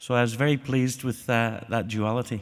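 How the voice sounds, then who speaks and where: At a moderate pace, a man speaks in an Irish accent with medium pitch and fairly even intonation. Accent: non-Australian accent, Irish. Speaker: corporate adaptation panelist. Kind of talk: conference panel talk. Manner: hesitant, many fillers.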